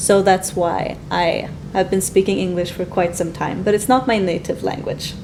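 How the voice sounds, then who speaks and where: A woman with a medium pitch and fairly even intonation talks at a moderate pace as noticeable background noise carries on behind her. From Sweden. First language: Swedish. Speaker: English teacher. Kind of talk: casual chat.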